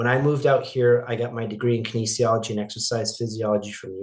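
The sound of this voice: A man's raspy put-on character voice at medium pitch, very fast and delivered in a monotone, flat intonation.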